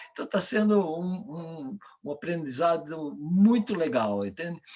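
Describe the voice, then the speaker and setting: The man's pitch is fairly high and his intonation lively. He speaks at a very slow pace. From Brazil. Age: 70s. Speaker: coach and author. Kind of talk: online talk Q&A.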